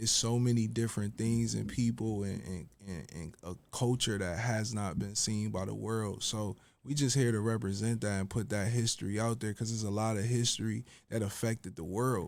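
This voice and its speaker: A man with an American accent and a plain, everyday voice, fairly low in pitch, at a moderate pace with fairly even intonation, on a very clean recording with a silent background. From Buffalo, New York, US. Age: 30s. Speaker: rapper and fashion designer. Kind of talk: casual interview.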